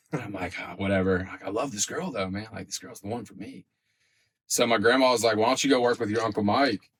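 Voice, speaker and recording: This man talks very fast, his voice at a middle pitch that moves up and down in a normal way. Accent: American. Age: 20s. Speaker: podcast guest in addiction recovery. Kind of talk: casual chat. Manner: animated.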